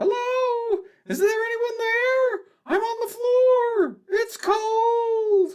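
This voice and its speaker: The voice is a put-on character voice, squeaky and extremely high in pitch. It moves at a very slow pace. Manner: eerie, pitiful.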